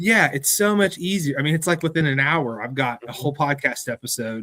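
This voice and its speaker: An ordinary speaking voice from a man, fairly high in pitch, lively in intonation, and fairly quick in pace. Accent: American. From US, West Virginia. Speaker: museum curator. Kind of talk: interview conversation.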